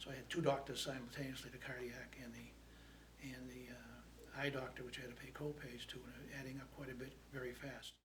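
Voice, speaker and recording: Audible room echo colors this recording. The man in it talks at a fairly quick pace. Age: 70s. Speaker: food pantry client. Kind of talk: testimony. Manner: halting.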